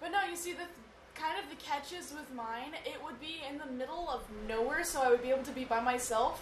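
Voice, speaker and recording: With noticeable background noise, a woman speaks at a high pitch and a fairly quick pace, showing ordinary pitch variation and big swings in loudness. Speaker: podcast co-host. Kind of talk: casual chat.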